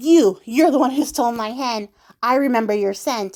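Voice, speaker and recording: Using a put-on character voice, a woman talks at a high pitch. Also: moderate pace. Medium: read story. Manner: commanding, menacing.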